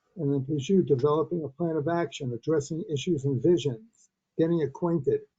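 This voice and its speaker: At a moderate pace, a man talks in a somewhat breathy voice with a fairly high pitch. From Brooklyn, New York. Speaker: webinar participant. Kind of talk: audience comment.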